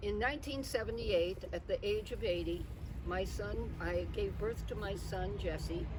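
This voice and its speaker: Noticeable background noise and audible room echo around a woman's moderately paced speech. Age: 80s+. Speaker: birthday celebrant. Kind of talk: party speech to guests. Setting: outdoor party. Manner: halting, with fillers.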